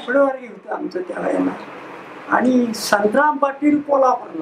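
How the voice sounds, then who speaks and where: A man's extremely high voice, fairly even in intonation, with light background noise. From Maharashtra. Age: 80s+. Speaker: freedom fighter. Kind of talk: interview. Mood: bitter about post-independence politics. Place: home room. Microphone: lapel.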